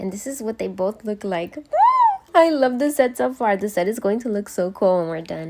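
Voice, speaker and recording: Talking at a fairly quick pace, the speaker is heard over noticeable background noise. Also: woman. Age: 20s. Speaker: self-taught nail artist. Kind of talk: casual tutorial talk to camera. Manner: upbeat, bubbly.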